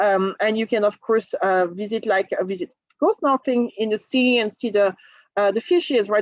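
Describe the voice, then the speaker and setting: A woman speaks in a French accent with fairly high pitch. The sound is dry and close, with no echo. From France, Normandy. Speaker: cruise line sales presenter. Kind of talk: sales presentation. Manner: animated.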